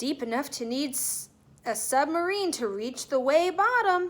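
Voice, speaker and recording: In a put-on character voice, a woman speaks at a high pitch. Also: moderate pace. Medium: read story.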